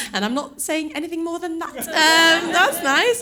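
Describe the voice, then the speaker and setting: The voice is raised and projected. Audible room echo and noticeable background noise surround it. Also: woman. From UK, born in Norway. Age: 30s. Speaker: stand-up comedian. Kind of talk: stand-up. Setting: stage with audience. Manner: animated.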